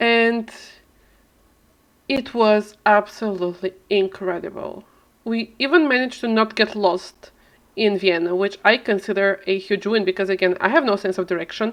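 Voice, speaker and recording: Speaking at a moderate pace, a woman with an Eastern European accent uses a medium pitch. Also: ordinary pitch variation. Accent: mild Eastern European. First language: not English, a lesser-known language. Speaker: video game streamer. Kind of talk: casual live-stream chat.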